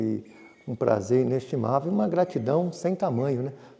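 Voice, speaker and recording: In a plain, everyday voice, a man of medium pitch speaks at a moderate pace. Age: 60s. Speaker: farmer and businessman. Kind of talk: interview.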